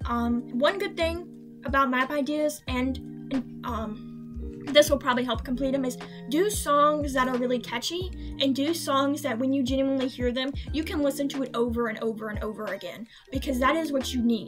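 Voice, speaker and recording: A woman talks at a moderate pace with clear music behind her. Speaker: digital artist and animator. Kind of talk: casual Q&A talk. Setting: laptop microphone with road background noise. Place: home room. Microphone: webcam.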